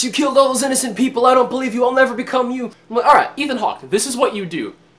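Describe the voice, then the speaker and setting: Against noticeable background noise, a man talks in an extremely high pitch. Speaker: movie reviewer. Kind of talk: casual movie review. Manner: fast; animated.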